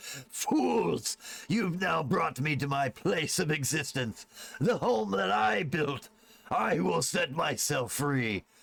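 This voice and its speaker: A man puts on a character voice, pitched fairly high and delivered at a very slow pace. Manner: bellowing.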